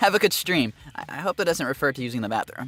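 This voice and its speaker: This man speaks loudly and at a fairly quick clip in an animated tone, his bright, sharp voice swinging very widely in pitch, recorded dry and close with no echo. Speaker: VTuber singer and streamer. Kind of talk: casual live stream chat. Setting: live stream.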